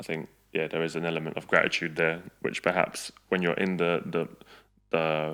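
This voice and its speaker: A man with a very deep, low pitch speaks in a bright, sharp tone with monotone, flat intonation. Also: moderate pace. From England (came from Balkans as a child, 1998). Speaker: YouTuber. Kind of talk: casual chat.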